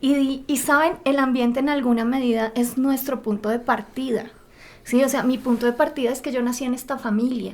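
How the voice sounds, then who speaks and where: Monotone, flat intonation at a moderate pace, in a Bogotá accent. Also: woman, high pitch for a woman. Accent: Bogotá (rolo) Spanish. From Bogotá, Colombia. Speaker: podcast co-host, personal development. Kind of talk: podcast conversation.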